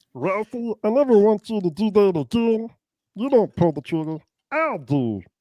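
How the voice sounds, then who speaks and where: This is a put-on character voice pitched fairly high. The background is quiet. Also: moderate pace. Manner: dopey, gurgly.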